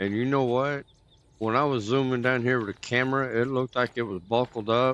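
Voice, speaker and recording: A man with a Texan accent talks at a fairly quick pace, his pitch medium. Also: fairly even intonation. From Texas. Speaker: gaming streamer. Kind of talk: casual chat. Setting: livestream. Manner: casual.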